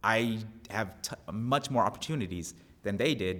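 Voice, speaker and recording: This is a man with a fairly low pitch and a normal speaking voice. His pitch varies in an ordinary way, on a very clean recording with a silent background. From US Northeast, Long Island, New York. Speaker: actor and physical therapist. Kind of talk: casual interview.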